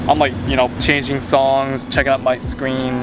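Music plays behind a man talking at a fairly quick pace, the sound dry with no echo. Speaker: tech reviewer vlogger. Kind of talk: casual vlog chat. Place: open country. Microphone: phone near.

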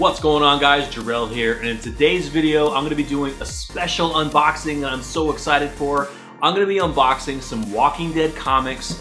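A man's voice with ordinary pitch variation and hardly any pauses, over faint music in the background. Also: fairly quick pace. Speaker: comic collector vlogger. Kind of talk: casual vlog chat. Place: home room. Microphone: camera far.

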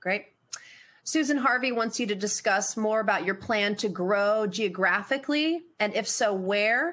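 The voice holds a very even loudness at a fairly slow pace, with ordinary pitch variation. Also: woman, fairly high pitch for a woman. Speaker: conference host. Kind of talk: conference moderation, scripted intro and Q&A. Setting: online webcast. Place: home room.

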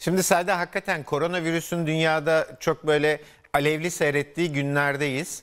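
Fairly high-pitched, a man speaks in a monotone, flat intonation at very even loudness. The background is quiet. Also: moderate pace. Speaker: physician co-host. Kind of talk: TV health talk show. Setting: studio. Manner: jovial. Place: studio.

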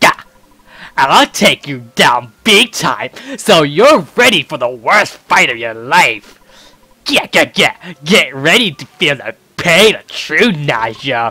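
A man's put-on character voice, fairly high-pitched, at a fairly slow pace. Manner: menacing, boastful.

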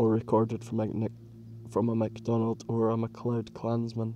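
A man speaks at a medium pitch and a fairly slow pace, his somewhat breathy voice carrying a dark, mellow tone. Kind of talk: audiobook reading of narrative history, read aloud in measured literary style. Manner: steady, measured, formal narrator pace.

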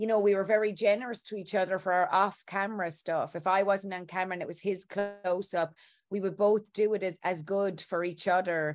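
A woman talks at a fairly quick pace in monotone, flat intonation. The background is quiet. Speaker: interviewed actress. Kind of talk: interview answer. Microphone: video call.

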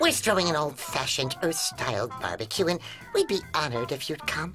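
A cartoonish character voice moves at a fairly quick pace over clear music in the background. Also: man, fairly high pitch for a man. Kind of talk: cartoon comic acting. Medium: comedy sketch. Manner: meek, dry, then panicky.

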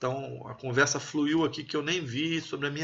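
This man has an unremarkable speaking voice, fairly high in pitch, with fairly even intonation at a moderate pace. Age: 30s. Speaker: army officer and political commentator. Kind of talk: live stream chat with viewers.

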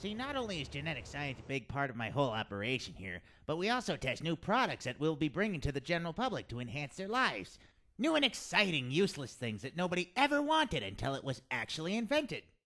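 Putting on a character voice, a man races along at a very fast pace, his fairly high pitch swinging very widely. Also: very clean recording, silent background. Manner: theatrical, rambling, salesman-like; hesitant, stammering.

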